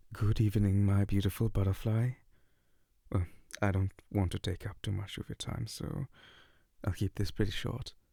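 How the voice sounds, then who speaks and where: A man with a dark, mellow, somewhat breathy tone speaks at a moderate pace with fairly even intonation and long, frequent pauses. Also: fairly low pitch for a man, dry, close sound with no echo. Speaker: ASMR voice performer. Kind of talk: ASMR boyfriend roleplay voicemail. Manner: soft-spoken, comforting.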